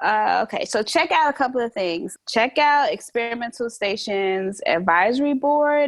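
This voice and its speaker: Over a quiet background, a woman with a plain, everyday voice talks at a fairly slow pace, her fairly high pitch carried by lively intonation. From Chicago, US Midwest (born in Brooklyn, New York). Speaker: artist and educator. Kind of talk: casual interview.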